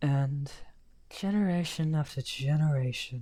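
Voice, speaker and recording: In a put-on character voice, the speaker talks at a fairly slow pace with a low-to-middle pitch. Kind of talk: audio roleplay. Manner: soft-spoken.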